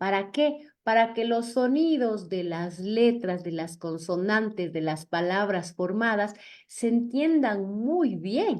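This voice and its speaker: Intonation rises and falls lively as a woman speaks at a very slow pace. She hardly pauses at all. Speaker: public speaking coach. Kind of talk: lecture. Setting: video call.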